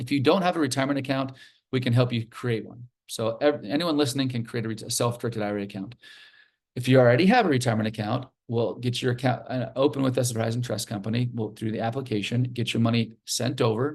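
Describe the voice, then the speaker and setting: Over a quiet background, a somewhat breathy man talks at a very fast pace with medium pitch and fairly even intonation. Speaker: self-directed retirement account specialist. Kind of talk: webinar presentation. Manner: halting.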